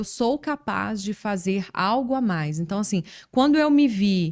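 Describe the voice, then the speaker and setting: Someone with a strong Minas Gerais accent talks at a moderate pace in a very clean recording with a silent background. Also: woman. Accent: strong Minas Gerais (mineiro). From Minas Gerais, Brazil. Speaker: journalist and communication coach. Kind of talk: casual interview chat. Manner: relaxed, conversational with fillers.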